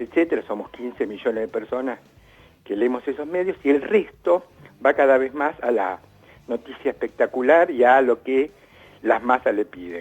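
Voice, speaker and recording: With a Rioplatense accent, a man at medium pitch talks at a moderate pace with lively intonation, in a dry, close sound with no echo. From Argentina. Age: 60s. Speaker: writer and art critic. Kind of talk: interview. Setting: remote call.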